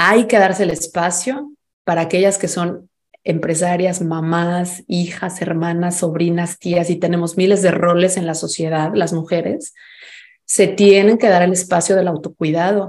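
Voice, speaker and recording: Speaking with a Mexican accent, a woman uses a fairly low pitch and fairly even intonation at a fairly slow pace. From Mexico. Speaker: fintech founder and financial educator. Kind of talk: interview and workshop talk; guided exercise.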